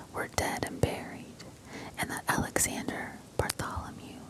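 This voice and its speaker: Noticeable background noise accompanies a woman who whispers at a fairly slow pace. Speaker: ASMR creator. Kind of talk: whispered audiobook-style reading aloud, ASMR. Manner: whispered, soft, expressive.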